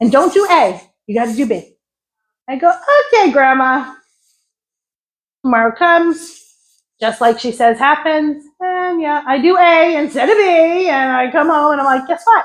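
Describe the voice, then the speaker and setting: The delivery is animated, with lively intonation in a New York accent. It moves at a moderate pace, broken by long, frequent pauses. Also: woman, high pitch for a woman. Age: 60s. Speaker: psychic medium and energy healer. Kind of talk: spiritual talk to an audience.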